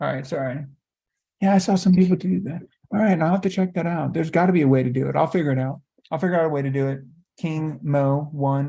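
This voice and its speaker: The speech comes at a very fast pace over a quiet background. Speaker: life coach. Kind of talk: live stream Q&A. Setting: livestream. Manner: animated.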